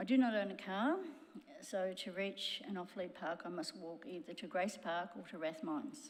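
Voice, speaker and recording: Lively intonation marks this woman's voice, heard in an Australian accent. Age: 70s. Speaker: local resident. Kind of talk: public submission.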